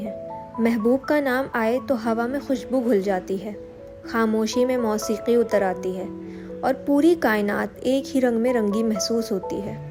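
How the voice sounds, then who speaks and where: There is music in the background. A woman with a fairly high pitch speaks with ordinary pitch variation. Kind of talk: poetic prose reading.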